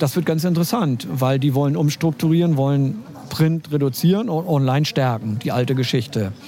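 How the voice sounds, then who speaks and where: A man with a plain, everyday voice, fairly high pitch, ordinary pitch variation, very even loudness and a fairly quick pace. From Schleswig-Holstein, Germany. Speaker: online journalist and columnist. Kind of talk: casual interview chat. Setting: outdoors in front of a cafe.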